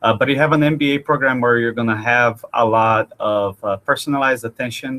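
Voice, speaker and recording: A man speaks at medium pitch with a slight Brazilian accent. His tone is bright and sharp, his intonation fairly even. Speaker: university admissions director. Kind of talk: webinar interview. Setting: online webinar.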